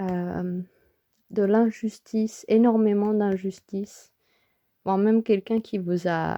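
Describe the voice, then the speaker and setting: Soft-spoken and very slow, a woman talks at medium pitch in a monotone, flat intonation, her dark, mellow tone caught in a dry, close sound with no echo. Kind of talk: tarot reading. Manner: hesitant with fillers. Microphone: close to the microphone.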